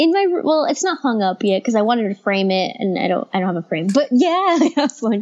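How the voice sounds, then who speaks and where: A woman talks at a fairly quick pace with hardly any pauses. Her squeaky, high voice makes very wide pitch swings. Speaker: guest co-host. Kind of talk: casual chat.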